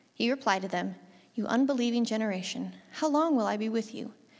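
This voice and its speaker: On a very clean recording with a silent background, a woman with a plain, everyday voice speaks at a fairly quick pace and fairly high pitch, with ordinary pitch variation. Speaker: scripture reader. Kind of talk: scripture reading aloud.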